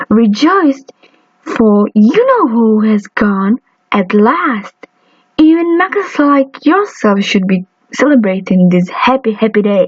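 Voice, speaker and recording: A woman's squeaky, put-on character voice, high in pitch, at a fairly slow pace. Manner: excited, joyful.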